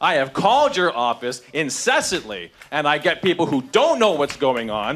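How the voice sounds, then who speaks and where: This man's pitch swings very widely. He speaks loud, at a moderate pace. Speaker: constituent at town hall. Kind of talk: heated confrontation. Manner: animated.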